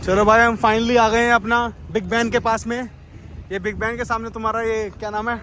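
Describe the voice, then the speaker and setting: In a raised, projected voice, a man speaks with a slight Marathi accent. His pitch is high. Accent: slightly Marathi-tinged Hindi. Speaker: travel vlogger. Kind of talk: casual vlog narration. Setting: outdoors. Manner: animated.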